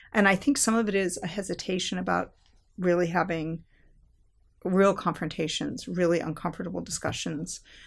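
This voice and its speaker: Vocal fry in an American accent at a moderate pace, on a very clean recording with a silent background. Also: woman, fairly low pitch for a woman, ordinary pitch variation. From Southern California. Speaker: history professor. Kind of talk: interview conversation.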